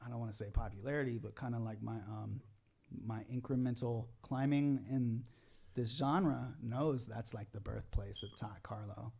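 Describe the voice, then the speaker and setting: A dark, mellow, somewhat breathy voice at a moderate pace with fairly even intonation. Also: man, medium pitch for a man. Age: 40s. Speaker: pop rock musician. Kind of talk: casual chat.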